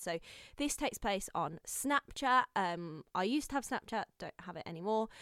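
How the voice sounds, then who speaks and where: A woman with a Brummie accent and fairly high pitch speaks at a moderate pace with lively intonation, in a dry, close, echo-free sound and a very clean recording with a silent background. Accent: Brummy (Birmingham). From Birmingham, England. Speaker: podcast host. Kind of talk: casual chat.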